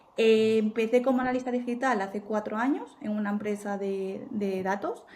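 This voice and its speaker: With an Asturian accent and a fairly high pitch, a woman talks at a moderate pace and fairly even intonation over noticeable background noise. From Spain, Asturias. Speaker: marketing executive. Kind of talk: interview.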